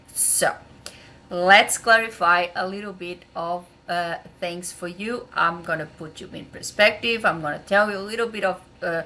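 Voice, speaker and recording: With a Portuguese accent, a woman talks at a moderate pace and medium pitch, her bright, sharp tone carrying fairly even intonation while her volume rises and falls sharply. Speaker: translator. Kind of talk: educational vlog. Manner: hesitant, many fillers.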